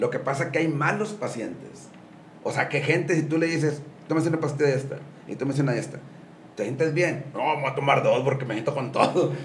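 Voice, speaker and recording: Audible room echo surrounds a man with a fairly high voice. He talks at a fairly quick pace with ordinary pitch variation. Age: 60s. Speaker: gym owner and businessman. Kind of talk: casual interview.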